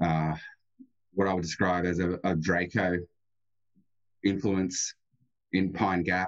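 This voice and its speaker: This man has a very deep, low voice and an Australian accent, delivered in a flat monotone. He talks very slowly, at very even loudness, with long, frequent pauses. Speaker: remote viewer and gematria guest. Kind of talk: radio interview. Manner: halting, repeats words.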